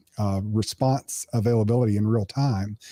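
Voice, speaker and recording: A man speaks with a dark, mellow tone and fairly even intonation, in a very clean recording with a silent background and a dry, close sound with no echo. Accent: American. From US East Coast. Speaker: cybersecurity consultant. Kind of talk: technical interview discussion.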